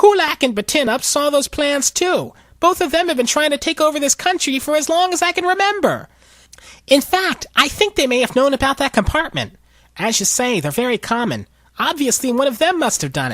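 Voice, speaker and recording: Whiny and fairly quick, a man puts on a character voice at an extremely high pitch. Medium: read story. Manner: whining, querulous.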